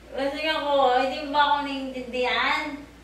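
A woman talks at a moderate pace with a high pitch and fairly even intonation. Light background noise and audible room echo are present. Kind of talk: scripted family skit, playful acting. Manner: slurred, dizzy fake-drunk voice. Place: home room. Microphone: camera far.

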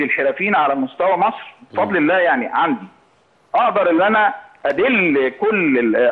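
Very wide pitch swings run through this man's speech, which moves at a moderate pace. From Egypt, Cairo (Darb al-Ahmar); Egypt. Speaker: founder of a heritage crafts initiative. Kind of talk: interview. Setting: phone call. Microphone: phone line.

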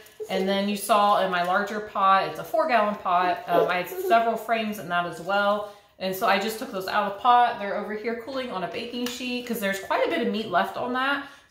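A woman's fairly quick speech with hardly any pauses, in audible room echo over light background noise. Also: ordinary pitch variation. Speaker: home cook vlogger. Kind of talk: casual vlog chat. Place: kitchen. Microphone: camera far.

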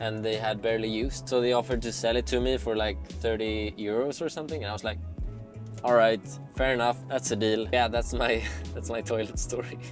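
Over clear music in the background, a man with a fairly low pitch swings very widely up and down. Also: dry sound with no echo. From Sweden. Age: 20s. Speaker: creative director, van-life vlogger; van-life vlogger. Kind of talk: casual vlog talk to camera. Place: car.

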